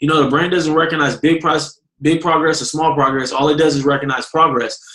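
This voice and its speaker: A man with a fairly high pitch talks at a fairly quick pace, his loudness very even throughout. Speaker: network marketing distributor. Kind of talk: motivational business training talk. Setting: conference call. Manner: fast; animated.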